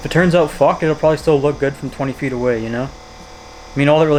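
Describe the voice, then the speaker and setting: Over noticeable background noise, a man talks at a very fast pace in a fairly high pitch with fairly even intonation. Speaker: car hobbyist vlogger. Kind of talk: casual vlog monologue.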